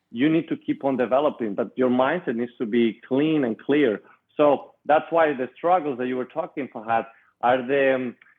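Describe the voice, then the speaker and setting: A medium-pitched man with a Spanish accent, ordinary pitch variation and a moderate pace. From Spain, Madrid. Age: 20s. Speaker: entrepreneur and author. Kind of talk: interview.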